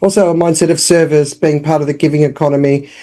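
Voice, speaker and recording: Fairly quick in pace, the voice has a dark, mellow tone and fairly even intonation. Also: woman. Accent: Australian. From Australia. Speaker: business founder and communications consultant. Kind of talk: podcast interview.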